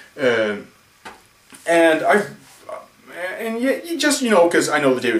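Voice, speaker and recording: A man at a fairly quick pace, with noticeable background noise and audible room echo. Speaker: film vlogger. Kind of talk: casual video blog. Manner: slurring.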